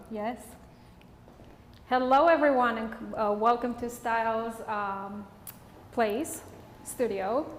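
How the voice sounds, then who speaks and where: A woman with a Romanian accent, fairly high-pitched, going very slowly with long, frequent pauses and ordinary pitch variation, in a room with audible echo. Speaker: hairstylist and educator. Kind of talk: live hairstyling demonstration. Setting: studio.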